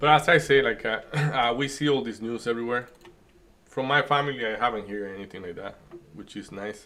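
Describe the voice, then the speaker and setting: A man with a Spanish accent talks at a fairly quick pace in a medium pitch with ordinary pitch variation. His loudness swings widely. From Dominican Republic. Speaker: day trading streamer. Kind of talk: casual chat during live trading stream. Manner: hesitant, many fillers.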